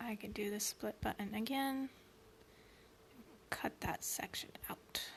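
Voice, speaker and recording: A whispered voice moves at a very slow pace, broken by long, frequent pauses. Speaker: beauty vlogger. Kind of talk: tutorial.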